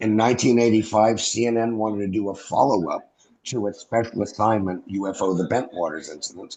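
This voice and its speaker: Speaking at a fairly quick pace, a man with an American accent has a normal speaking voice pitched fairly low. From US Northeast (New York). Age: 60s. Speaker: former airman, UFO witness. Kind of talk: interview.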